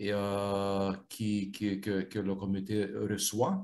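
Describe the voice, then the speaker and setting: With a non-native accent, a man talks at a fairly low pitch. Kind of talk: interview. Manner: halting, many repetitions and fillers.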